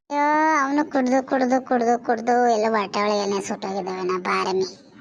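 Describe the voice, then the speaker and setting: A cartoonish character voice at a moderate pace. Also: woman, fairly high pitch for a woman. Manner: bossy, chatty.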